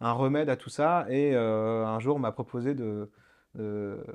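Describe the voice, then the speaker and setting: Medium-pitched male voice with ordinary pitch variation over a quiet background. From France, Le Mans. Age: 30s. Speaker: start-up founder. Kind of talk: radio interview. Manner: halting, many fillers.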